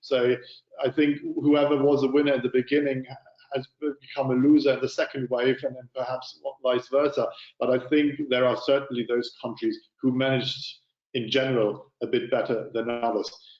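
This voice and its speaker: This man, with a German accent, talks at a moderate pace in a medium pitch with monotone, flat intonation. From Germany. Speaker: panel moderator. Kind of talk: moderated panel discussion. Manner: halting, many fillers and repeats.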